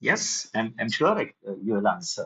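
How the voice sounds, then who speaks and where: Very wide pitch swings in a Marathi Indian accent. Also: man. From India (Maharashtra). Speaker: programming teacher. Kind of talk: online lecture.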